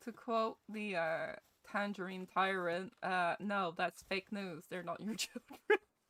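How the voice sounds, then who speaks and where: A woman with a Scottish accent speaks in an animated tone, with a dry, close sound and no echo. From Scotland. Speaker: gaming streamer. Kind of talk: live gameplay stream chat.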